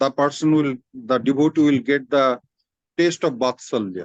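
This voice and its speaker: A fairly high-pitched man with a Bengali accent at a fairly slow pace, recorded dry and close with no echo against a quiet background. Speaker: spiritual teacher. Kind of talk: religious discourse in informal online meeting. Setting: video call. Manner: halting, with repeated words.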